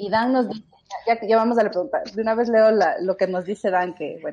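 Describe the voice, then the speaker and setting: An unremarkable speaking voice at a moderate pace, with ordinary pitch variation. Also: woman. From Ecuador. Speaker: podcast host. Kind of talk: casual group chat.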